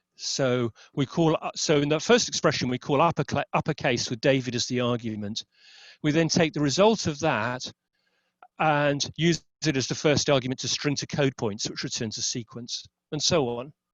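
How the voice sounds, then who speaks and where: Pitched fairly high, the man's voice shows ordinary pitch variation. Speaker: webinar presenter on XSLT. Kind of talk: technical webinar presentation. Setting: online webinar. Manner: fast; hesitant with fillers and self-corrections.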